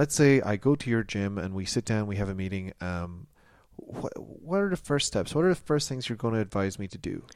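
A plain, everyday voice from a man with a Canadian accent, fairly low in pitch, with a fairly quick pace and lively intonation, in a very clean recording over a silent background. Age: 30s. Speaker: comedy podcast host. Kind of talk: comedic mock interview. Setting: studio.

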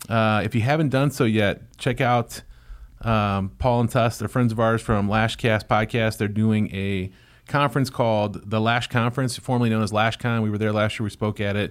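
With an ordinary speaking voice, a man of medium pitch talks at a moderate pace with fairly even intonation on a very clean recording with a silent background. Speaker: podcast co-host, lash business owner. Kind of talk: casual chat. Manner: jokey, laughs often.

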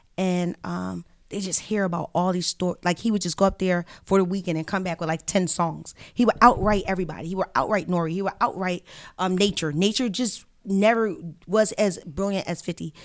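A woman's medium-pitched voice at a fairly quick pace, with fairly even intonation, in a very clean recording with a silent background. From West Philadelphia, US. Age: 40s. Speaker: journalist and reverend. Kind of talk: casual chat.

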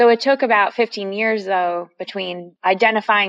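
A normal speaking voice with fairly even intonation at a moderate pace. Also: woman. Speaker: podcast host. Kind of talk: interview.

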